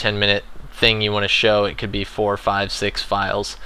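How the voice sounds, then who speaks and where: A man speaks at a fairly low pitch. His tone is bright and sharp. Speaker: gaming video tutorial creator. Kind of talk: tutorial. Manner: fast; casual with many filler words.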